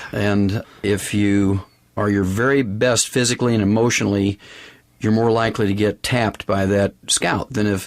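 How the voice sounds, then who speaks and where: In a very clean recording with a silent background, a man speaks at a fairly low pitch with monotone, flat intonation. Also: moderate pace, very even loudness. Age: 60s. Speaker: nutrition doctor and network marketing executive. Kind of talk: business interview conversation.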